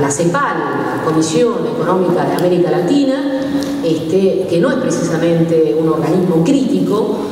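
Speaking at a fairly slow pace, a woman is heard with strong room echo and light background noise. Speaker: speaker. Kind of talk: public talk / lecture. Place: hall. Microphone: camera far.

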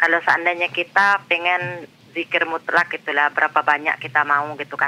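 A man's high-pitched voice at a fairly quick pace. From Cianjur, West Java, Indonesia; West Java, Indonesia. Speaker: caller. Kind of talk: phone-in question. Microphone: phone line.

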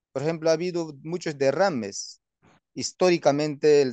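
A man's dark, mellow voice at a moderate pace, with ordinary pitch variation, dry sound with no echo and a quiet background. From Peruvian Amazon, Wampís nation; Peru. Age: 30s. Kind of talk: interview. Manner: halting, many fillers. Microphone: phone near.

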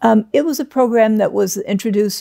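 Against a quiet background, a woman speaks in a dark, mellow tone. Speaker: interviewee. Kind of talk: interview answer. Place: home room. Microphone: lapel.

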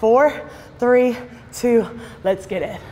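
A woman is speaking. Her tone is energetic. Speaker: fitness instructor. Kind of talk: workout class instruction. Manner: energetic, encouraging. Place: gym.

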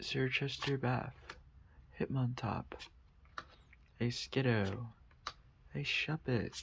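A soft-spoken voice at a very slow pace, with light background noise. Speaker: ASMR creator. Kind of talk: ASMR card pack opening. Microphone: studio mic.

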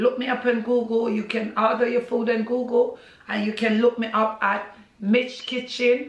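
The speaker talks at a fairly slow pace in a monotone, flat way. Audible room echo surrounds the voice. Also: woman. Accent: Jamaican. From Jamaica. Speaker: social media personality and Caribbean food business owner. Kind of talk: casual interview. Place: home room. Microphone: camera far.

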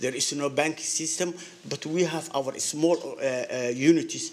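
Fairly high-pitched male speech in a strong non-native accent, moderate in pace with fairly even intonation, against noticeable background noise. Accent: heavy foreign. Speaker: business owner speaking at public comment. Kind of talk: public comment at council meeting. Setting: city council meeting podium. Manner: halting, many fillers and repetitions.

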